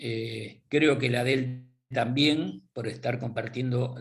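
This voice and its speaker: At a very slow pace, a man speaks in a somewhat breathy voice at a medium pitch with fairly even intonation. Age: 70s. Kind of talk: interview. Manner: halting.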